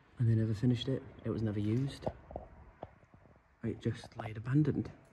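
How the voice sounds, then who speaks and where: Ordinary pitch variation marks a man's speech at a fairly quick pace. Noticeable background noise is present. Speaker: urban explorer vlogger. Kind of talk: casual vlog chat. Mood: relaxed, joking. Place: empty room. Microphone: phone near.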